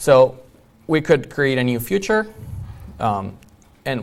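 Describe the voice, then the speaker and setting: A man speaks with a non-native accent. The room echo is audible. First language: not English. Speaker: iOS developer, conference speaker. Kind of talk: conference talk.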